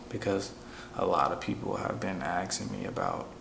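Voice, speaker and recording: Quiet and at a moderate pace, a man with an American accent speaks amid audible room echo and noticeable background noise. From Chicago, US. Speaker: vlogger sharing personal story. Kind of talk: personal testimony monologue. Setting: at home, wife asleep nearby. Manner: quiet, talking low; casual with many fillers.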